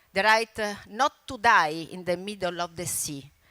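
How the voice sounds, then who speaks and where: Speaking with an Italian accent, a woman uses lively intonation at a fairly slow pace. Her medium-pitched voice has a bright, sharp tone, recorded very cleanly against a silent background. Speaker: environmental campaigner and broadcaster. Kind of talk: conference speech. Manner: halting.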